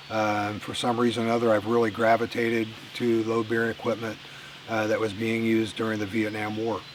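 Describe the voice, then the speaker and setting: Over noticeable background noise, a man speaks very fast at medium pitch in a monotone, flat intonation. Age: 60s. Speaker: outdoor vlogger. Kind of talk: casual vlog monologue. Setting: outdoors in the woods. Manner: halting, with many fillers.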